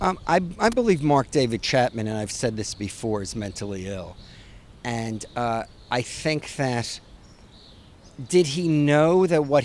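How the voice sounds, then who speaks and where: With a New York accent, a man speaks in a fairly high pitch, his voice swinging very widely in pitch. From New York City. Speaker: author. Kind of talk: interview.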